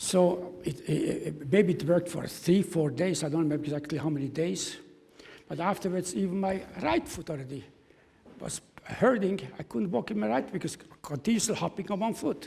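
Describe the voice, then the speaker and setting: A man's high-pitched voice carries a dark, mellow tone and lively intonation. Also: moderate pace. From Czechoslovakia. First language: German. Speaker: Holocaust survivor. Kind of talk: testimony. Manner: halting.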